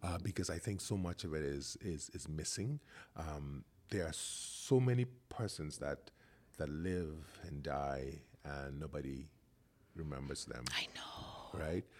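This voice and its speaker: In a Bahamian accent, a man speaks at a fairly slow pace. His voice is very deep and low, with ordinary pitch variation. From The Bahamas. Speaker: podcast host, dancer and choreographer. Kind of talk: casual interview conversation.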